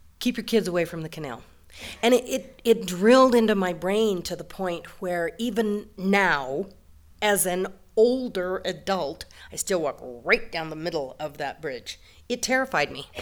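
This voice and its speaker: This is an ordinary speaking voice from a woman with an American accent, at medium pitch. She goes at a fairly slow pace, with lively intonation and big swings in loudness. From western Colorado, Delta. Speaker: storyteller. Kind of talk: live storytelling. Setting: stage with audience.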